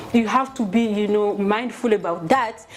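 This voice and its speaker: Amid noticeable background noise, a woman talks at a moderate pace in a fairly high voice with fairly even intonation. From Mali. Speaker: community leader. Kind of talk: interview.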